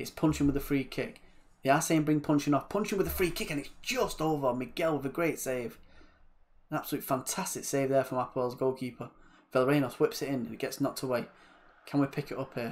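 At a very fast pace, a man speaks with a fairly high pitch and ordinary pitch variation. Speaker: gaming YouTuber. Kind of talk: video game let's play with live-style match commentary. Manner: animated, excitable, rapid-fire play-by-play with football-fan exclamations; casual, chatty, friendly.

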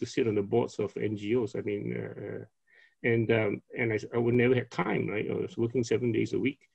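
Vocal fry marks a man's speech at a fairly quick pace. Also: quiet background. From Penang, Malaysia. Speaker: company founder. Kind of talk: casual interview chat. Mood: reflective, calm. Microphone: video call.

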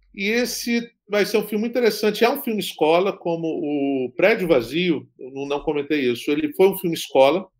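In a quiet background, a man speaks with a high pitch and ordinary pitch variation. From Espírito Santo, Brazil (Guarapari); Espírito Santo, Brazil. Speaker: film director; interviewee. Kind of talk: interview. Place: home room.

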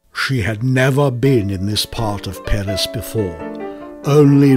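Music plays in the background as a man speaks at a fairly slow pace with ordinary pitch variation. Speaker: voice actor. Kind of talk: short story reading. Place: studio.

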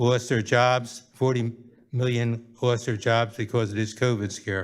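A man at medium pitch, fairly slow and monotone, on a very clean recording with a silent background. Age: 70s. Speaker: public commenter at council meeting. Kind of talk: public comment. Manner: halting.

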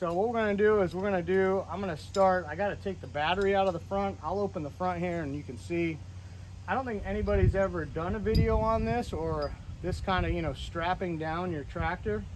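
Noticeable background noise sits behind a man speaking at a fairly quick clip. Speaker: tractor owner. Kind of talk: casual how-to vlog explanation. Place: garage. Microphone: camera far.

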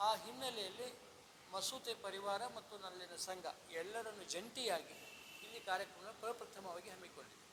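A man's voice is raised and projected, high in pitch with ordinary variation. Noticeable background noise runs behind him. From Solapur district, Maharashtra-Karnataka border (Akkalkot). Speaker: retired chemistry lecturer, event organizer. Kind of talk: event announcement interview.

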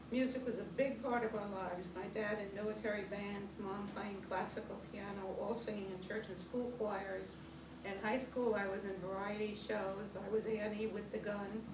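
A woman with monotone, flat intonation at a moderate pace, with noticeable background noise. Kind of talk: personal memoir reading. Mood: warm, wry humor. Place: meeting room. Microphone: camera far.

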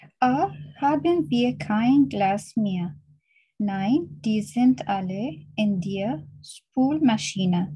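Very slowly and somewhat breathy, a woman speaks at medium pitch in a dark, mellow tone with very wide pitch swings. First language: Arabic (speaking German). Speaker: language student. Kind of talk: reading aloud exercises.

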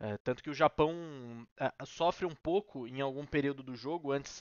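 A man talks at a fairly slow pace with fairly even intonation. The sound is dry with no echo, and the background is quiet. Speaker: sports commentator / YouTuber. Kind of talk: post-match analysis, informal sports commentary to camera. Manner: conversational, explanatory, fairly fluent with filler words. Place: home room. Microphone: headset.

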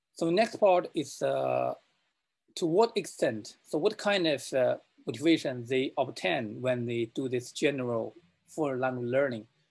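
Speaking at a fairly slow pace, a man uses a medium pitch, a slightly mellow tone and vocal fry. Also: ordinary pitch variation.

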